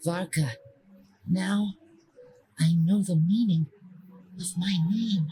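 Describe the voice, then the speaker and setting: A female-sounding voice in a put-on character voice, at medium pitch, talks at a very slow pace with long, frequent pauses. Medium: video game. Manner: solemn, poetic.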